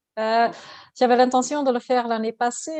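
A woman with a Dutch accent speaks at a high pitch with fairly even intonation. The background is quiet. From Flanders, Belgium (Ghent). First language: Dutch (speaking French). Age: 40s. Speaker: ultra-distance cyclist. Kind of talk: interview. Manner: halting.

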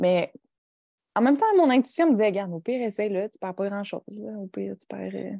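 A woman talks at a very fast pace with lively intonation and a dark, mellow tone, her voice dry and close with no echo. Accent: Quebec. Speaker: podcast co-host and entrepreneur. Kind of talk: casual chat. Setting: video call. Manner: soft-spoken.

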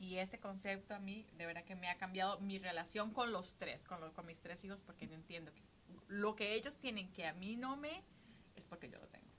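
At a fairly quick pace, a woman with a normal speaking voice talks at medium pitch with ordinary pitch variation and big swings in loudness. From Costa Rica. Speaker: podcast co-host. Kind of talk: casual chat.

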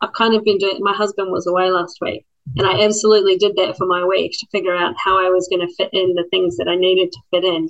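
At a very fast pace with hardly any pauses, a woman speaks in a medium pitch with ordinary pitch variation. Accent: New Zealand. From New Zealand, Christchurch. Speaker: public servant, former lawyer. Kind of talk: casual chat.

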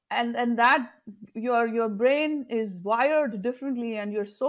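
In a very clean recording with a silent background, a woman with an Indian accent speaks at a fairly high pitch with ordinary pitch variation. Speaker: leadership coach. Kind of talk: interview.

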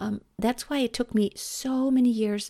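A woman's dark, mellow tone with a German accent, in a very clean recording over a silent background. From Germany. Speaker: vocal coach and podcast host. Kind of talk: solo podcast monologue. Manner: stumbling over words.

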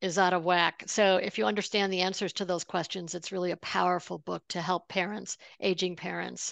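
The speech runs at a fairly quick pace with hardly any pauses, fairly even intonation and vocal fry, recorded dry and close with no echo. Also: woman, fairly low pitch for a woman, quiet background. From upstate New York. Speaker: money coach, former lawyer. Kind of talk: interview.

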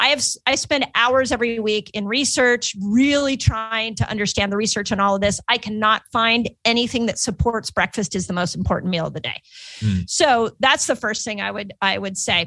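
Bright, sharp tone at a moderate pace, with ordinary pitch variation. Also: woman, fairly high pitch for a woman. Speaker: health doctor and fasting expert. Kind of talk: interview.

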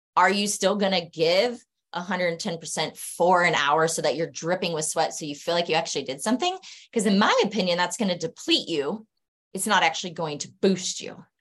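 Speaking at a moderate pace, a woman has an ordinary speaking voice. Her pitch is fairly low, with ordinary pitch variation. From Arizona. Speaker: physical therapist. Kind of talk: casual chat. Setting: online call.

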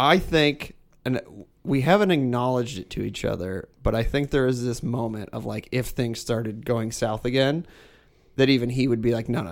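A man speaks in an ordinary speaking voice at a moderate pace, with a medium pitch and ordinary pitch variation. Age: 30s. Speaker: guest sharing family reconciliation story. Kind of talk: casual chat.

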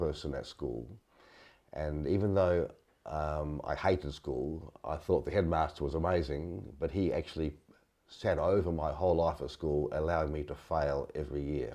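Here a man talks at a moderate pace in a very deep, low pitch with ordinary pitch variation and vocal fry. His tone is dark and mellow, over a quiet background. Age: 70s. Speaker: leadership consultant. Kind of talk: interview conversation.

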